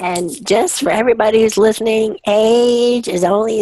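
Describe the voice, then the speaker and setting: Noticeable background noise behind a woman's fairly high voice with ordinary pitch variation, at a moderate pace. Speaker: executive coach. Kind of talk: casual chat.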